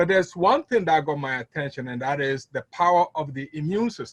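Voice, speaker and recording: Somewhat breathy and fairly high, a man's voice moves at a fairly quick pace with ordinary pitch variation, dry and close with no echo. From Ghana, West Africa. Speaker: network marketing distributor. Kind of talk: testimony. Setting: conference call. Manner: hesitant, many fillers.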